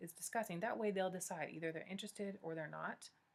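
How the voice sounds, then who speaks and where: At a very fast pace, a woman talks with a medium pitch and ordinary pitch variation. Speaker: YouTuber, vlogger on pregnancy and fertility. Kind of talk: casual tutorial vlog.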